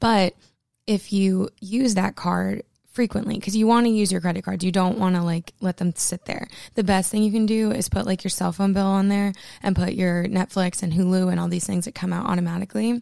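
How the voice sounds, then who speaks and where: Recorded very cleanly against a silent background, a woman with a medium pitch and a dark, mellow tone talks at a fairly quick pace with fairly even intonation, the sound dry and close with no echo. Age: 20s. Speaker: podcast host. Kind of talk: casual solo chat. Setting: home recording room. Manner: casual, filler-heavy.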